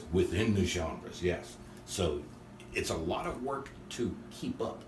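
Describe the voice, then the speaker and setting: A man with an American accent speaks fairly slowly in a somewhat breathy, fairly low voice with lively intonation, and the room echo is audible. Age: 60s. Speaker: drummer. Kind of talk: casual interview.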